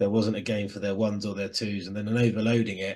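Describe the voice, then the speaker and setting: With a Southern English accent, a man speaks at a medium pitch and a fairly quick pace. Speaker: rugby podcast host. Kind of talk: casual chat.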